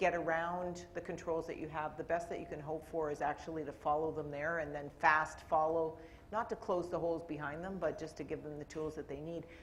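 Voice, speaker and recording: With a Canadian accent, a woman talks in a fairly low voice over noticeable background noise. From Canada. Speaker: corporate IT executive on a panel. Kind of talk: panel discussion.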